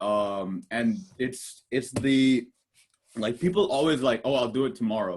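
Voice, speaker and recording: A man speaks loudly at a medium pitch. His intonation is lively. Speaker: podcast host. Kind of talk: casual chat. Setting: video call. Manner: halting.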